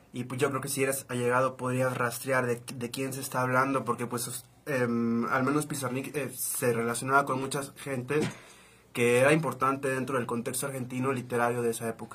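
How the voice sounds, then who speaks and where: At a medium pitch, a man talks at a fairly quick pace with monotone, flat intonation. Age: 20s. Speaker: journalist. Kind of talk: casual chat.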